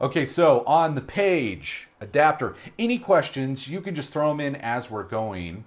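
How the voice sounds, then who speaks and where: A loud man speaks at a fairly slow pace in an animated tone, his fairly high pitch swinging very widely, on a very clean recording with a silent background. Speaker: live-stream host. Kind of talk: live-stream show and tell.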